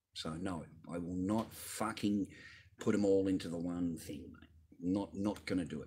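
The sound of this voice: A man speaks at a moderate pace in a low, dark, mellow voice with a slightly husky edge and ordinary pitch variation.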